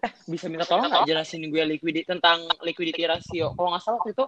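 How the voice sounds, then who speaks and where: The man speaks at a very fast pace, the sound dry and close with no echo. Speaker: business student, MC. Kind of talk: casual student chat. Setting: phone call.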